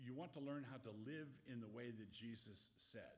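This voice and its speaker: A somewhat breathy man speaks, and room echo can be heard. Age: 70s. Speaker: pastor. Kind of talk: Q&A talk to an audience. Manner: halting, self-correcting.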